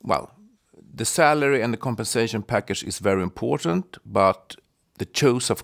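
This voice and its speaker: Speaking with a Swedish accent, a man talks at medium pitch and a moderate pace with lively intonation. The sound is dry and close, with no echo. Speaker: podcast co-host, tax lawyer. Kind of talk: interview.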